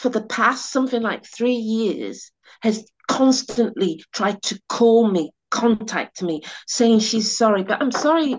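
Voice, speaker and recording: A woman with a British accent, fairly slow pace and ordinary pitch variation. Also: fairly high pitch for a woman. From England, West Indian heritage. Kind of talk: personal storytelling. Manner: animated.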